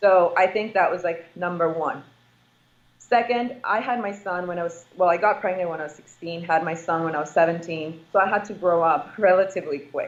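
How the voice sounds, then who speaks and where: A fairly quick delivery in an ordinary speaking voice, its pitch varying in an ordinary way. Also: woman, fairly low pitch for a woman. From immigrant family, moved to US as child. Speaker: real estate investor. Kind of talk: interview.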